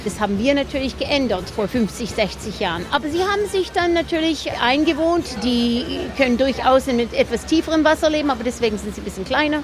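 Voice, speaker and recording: Over music in the background, a woman with a high pitch talks at a fairly quick pace with lively intonation. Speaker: boat tour guide. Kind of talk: casual tour-guide explanation in an interview. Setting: outdoors on a boat.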